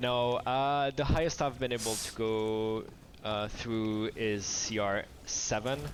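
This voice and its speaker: There is a man with a French accent at a medium pitch. He speaks at a very slow pace with ordinary pitch variation. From France. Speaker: game developer. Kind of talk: casual interview while playing a game. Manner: halting.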